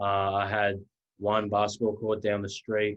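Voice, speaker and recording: The speaker is a man. He talks with a slight Australian accent. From Australia, rural Victoria near Melbourne. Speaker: college basketball player. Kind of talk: interview.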